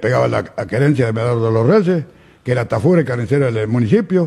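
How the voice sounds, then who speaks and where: Against a quiet background, a man talks at a moderate pace with lively intonation. His voice is somewhat breathy. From Uruguay, Durazno. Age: 80s+. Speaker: flood-zone resident. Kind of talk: interview. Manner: halting. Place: studio. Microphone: studio mic.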